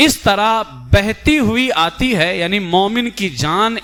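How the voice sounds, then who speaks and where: A man's bright, sharp voice carries lively intonation. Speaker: Islamic scholar (mufti) giving a religious lecture. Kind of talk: Urdu religious lecture explaining death and the afterlife.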